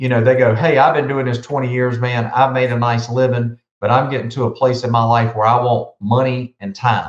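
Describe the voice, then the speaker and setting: The speaker talks at a fairly quick pace in a somewhat breathy voice with a Southern US accent. There are hardly any pauses. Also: man, medium pitch for a man. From South Carolina. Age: 50s. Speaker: business consultant. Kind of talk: podcast interview. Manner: animated.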